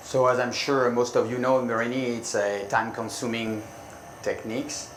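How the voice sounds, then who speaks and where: A man with a French accent speaks at a medium pitch and moderate pace, in monotone, flat intonation. Audible room echo and noticeable background noise fill the recording. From France. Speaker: glass artist. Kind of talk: live demonstration. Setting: conference demo stage with audience. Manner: halting.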